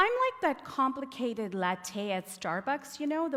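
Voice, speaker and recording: Against noticeable background noise, a woman with a Canadian accent speaks at a moderate pace in a high pitch with lively intonation. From Toronto, Canada (immigrated from India at ten). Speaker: academic advisor and learning strategist. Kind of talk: TEDx talk. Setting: stage with audience.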